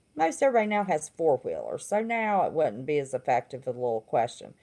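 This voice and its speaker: In a Southern accent, a woman speaks at a fairly quick pace with very wide pitch swings. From West Virginia. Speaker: livestream host, former therapist. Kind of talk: casual livestream monologue.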